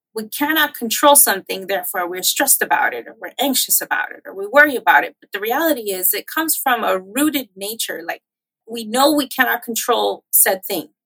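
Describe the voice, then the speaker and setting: Bright and sharp in tone, a woman speaks at a fairly quick pace with lively intonation and big swings in loudness, the sound dry and close with no echo. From US, Miami, Florida, Cuban-American community. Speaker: political campaign and policy professional. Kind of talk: interview conversation.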